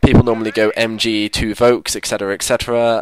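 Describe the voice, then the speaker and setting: A man talks at a fairly quick pace with fairly low pitch. Noticeable background noise runs underneath. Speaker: gaming commentator. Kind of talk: gameplay commentary. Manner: fast.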